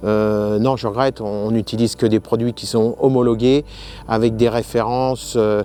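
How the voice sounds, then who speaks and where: The man's pace is fairly slow. Behind him, music plays in the background. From France, Essonne (Dourdan area). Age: 50s. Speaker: farmer. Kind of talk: interview. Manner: hesitant, many fillers.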